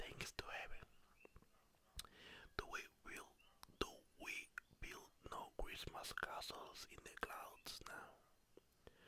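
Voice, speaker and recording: A man whispers at a very slow pace, with long pauses coming often. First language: not English (non-native reader). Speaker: ASMR creator. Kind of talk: ASMR story reading. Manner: soft-spoken, slow. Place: home room. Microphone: studio mic.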